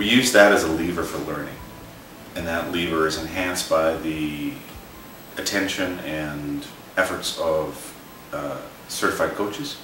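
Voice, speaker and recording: A man with a very deep, low pitch at a fairly slow pace, long, frequent pauses, audible room echo and light background noise. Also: ordinary pitch variation. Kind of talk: explanatory presentation to camera. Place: home room.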